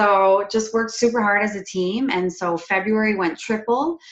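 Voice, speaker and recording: A woman with a slight Quebec accent, fairly even intonation, and a moderate pace. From Quebec, Canada. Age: 20s. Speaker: network marketing distributor. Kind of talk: personal success story on a video call. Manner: casual, many fillers.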